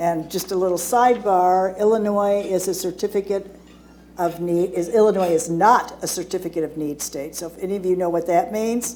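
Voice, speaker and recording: A woman talks at a moderate pace with fairly even intonation and medium pitch. Her tone is dark and mellow. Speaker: hospice association executive director, panelist. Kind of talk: seminar panel presentation. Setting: seminar room with live audience. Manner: loud.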